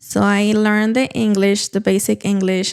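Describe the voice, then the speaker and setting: With a Mexican accent, a woman speaks at a moderate pace in a very clean recording with a silent background. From Mexico, Durango. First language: Spanish. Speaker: real estate agent. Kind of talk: casual interview. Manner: halting.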